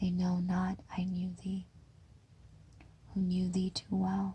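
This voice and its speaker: At a very slow pace, a woman speaks in a somewhat breathy, gentle voice with a dark, mellow tone and a medium pitch. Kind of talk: poetry reading. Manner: slow, hushed, gentle.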